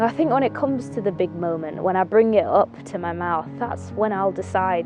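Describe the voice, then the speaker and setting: A woman speaks at a moderate pace with a Mancunian accent. Music plays in the background. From Manchester. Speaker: actor. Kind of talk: film monologue. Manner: reflective, casual.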